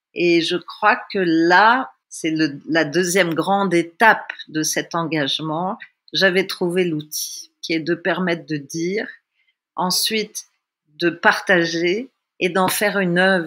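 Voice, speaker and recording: A woman with a Russian accent, fairly low-pitched, speaking at a very slow pace on a very clean recording with a silent background. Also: ordinary pitch variation. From Tunisia. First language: Russian (speaking French). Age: 60s. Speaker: theatre workshop leader. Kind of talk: personal testimony. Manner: reflective.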